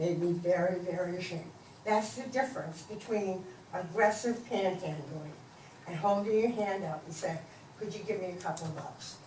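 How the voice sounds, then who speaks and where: At a moderate pace and medium pitch, a woman speaks with ordinary pitch variation and big swings in loudness. Audible room echo and noticeable background noise surround her. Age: 70s. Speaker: resident giving public comment. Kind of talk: public comment at city meeting. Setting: city commission meeting chamber.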